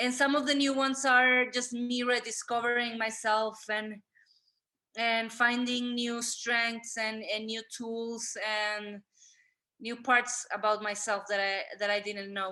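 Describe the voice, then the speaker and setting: In a Spanish accent, a woman speaks very slowly with a fairly high pitch, a bright, sharp tone and monotone, flat intonation. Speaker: artist. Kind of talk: interview. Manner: halting.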